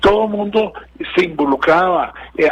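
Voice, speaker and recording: A man at a fairly slow pace, with ordinary pitch variation and noticeable background noise. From Costa Rica. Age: 60s. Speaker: political analyst. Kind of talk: interview. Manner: hesitant, with many fillers and repetitions.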